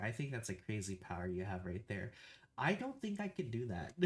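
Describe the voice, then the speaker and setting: A soft-spoken, somewhat breathy man with very wide pitch swings. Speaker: livestreamer. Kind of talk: casual livestream chat. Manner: halting, many fillers and repeats.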